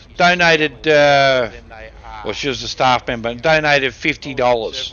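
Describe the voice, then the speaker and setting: In an Australian accent, a man talks at a fairly slow pace with ordinary pitch variation. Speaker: live streamer. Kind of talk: casual chat. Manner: loud.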